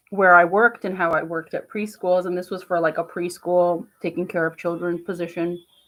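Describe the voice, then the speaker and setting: A woman speaks in a New Jersey accent with a fairly low pitch. Her intonation is monotone and flat. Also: fairly quick pace. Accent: New Jersey American. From New Jersey, US. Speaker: vlogger. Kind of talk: casual vlog monologue. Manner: rambling with many fillers.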